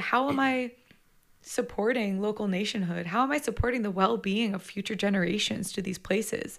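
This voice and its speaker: This woman has a plain, everyday voice with a Canadian accent. She talks at a fairly quick pace with ordinary pitch variation. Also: very clean recording, silent background. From southwestern Ontario, Canada. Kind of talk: casual interview conversation.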